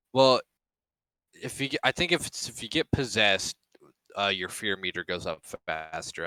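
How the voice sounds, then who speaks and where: A man's bright, sharp tone at a fairly quick pace. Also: dry, close sound with no echo. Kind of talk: casual chat. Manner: fast.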